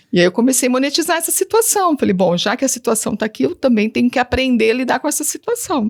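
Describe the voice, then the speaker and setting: A woman talks at a very fast pace and a high pitch with hardly any pauses, her voice making very wide pitch swings. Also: dry, close sound with no echo. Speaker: teacher and digital influencer. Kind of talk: interview testimony.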